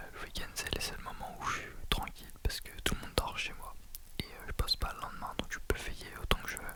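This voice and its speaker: Whispering at a fairly quick pace, the voice takes big swings in loudness over noticeable background noise. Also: man. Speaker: ASMR creator. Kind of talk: ASMR whisper talk to viewers. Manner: whispered.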